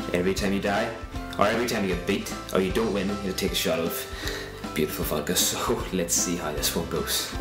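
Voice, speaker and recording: Clear music plays in the background while a man speaks at a fairly quick pace with ordinary pitch variation. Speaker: gaming channel host. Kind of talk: video intro to camera. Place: studio.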